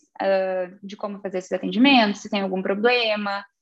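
In a southern Brazilian accent, a woman at a medium pitch speaks at a fairly quick pace with ordinary pitch variation. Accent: southern Brazilian (gaúcho) Portuguese. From southern Brazil, Rio Grande do Sul (Santa Vitória do Palmar). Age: 30s. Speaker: business executive. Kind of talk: interview.

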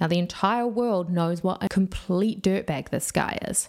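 A woman with a New Zealand accent, fairly low in pitch and fairly slow in pace, on a very clean recording with a silent background. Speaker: true crime youtuber. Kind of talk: scripted narration.

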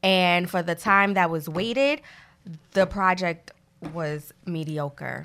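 Very slow woman's voice in a Brooklyn accent, bright and sharp in tone, on a very clean recording with a silent background. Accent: New York (Brooklyn). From Brooklyn, New York. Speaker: podcast co-host, music fan and former rapper. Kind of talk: casual chat.

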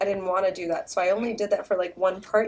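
A woman talks at a very fast pace with ordinary pitch variation. Background noise is noticeable. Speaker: podcast co-host. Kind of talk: casual chat; reading aloud. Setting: studio. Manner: loud.

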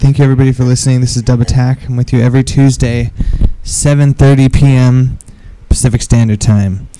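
Over noticeable background noise, a man at medium pitch talks at a fairly quick pace in monotone, flat intonation. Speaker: radio DJ. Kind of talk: internet radio DJ patter between tracks. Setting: online radio studio with live chat room. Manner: casual, laid-back, joking and swearing.

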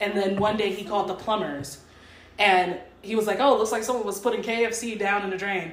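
The speaker talks at a fairly quick pace with an American accent and fairly even intonation. Noticeable background noise runs underneath. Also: woman, medium pitch for a woman. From Texas. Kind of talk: casual chat.

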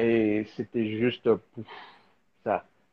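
A man's voice, fairly low in pitch. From DR Congo. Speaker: filmmaker and designer. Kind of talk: live video interview. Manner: halting, many fillers and repetitions.

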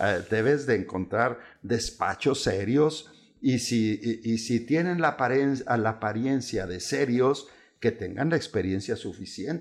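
A man speaks in a normal speaking voice at medium pitch, with ordinary pitch variation and a fairly slow pace. The recording is very clean, with a silent background. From Chihuahua, northern Mexico. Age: 60s. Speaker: lawyer specializing in bank foreclosures. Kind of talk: casual interview.

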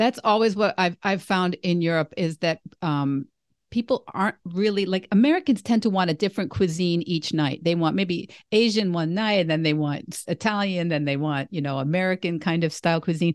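A woman's plain, everyday voice, fairly low in pitch with ordinary variation, at a fairly quick pace, dry and close with no echo over a quiet background. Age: 60s. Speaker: podcast host and vegan coach. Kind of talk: casual interview chat.

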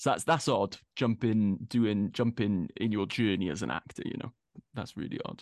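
A man with a Welsh accent speaks at a fairly low pitch and a moderate pace, with vocal fry and ordinary pitch variation. The background is quiet, and the sound is dry and close with no echo. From Wales. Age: 30s. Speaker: actor. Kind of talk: casual interview.

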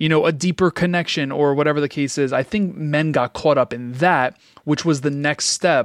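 In a plain, everyday voice, a fairly high-pitched man speaks at a moderate pace with fairly even intonation, the sound dry and close with no echo. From Queens, New York. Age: 30s. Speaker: podcast host and entrepreneur. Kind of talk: casual chat.

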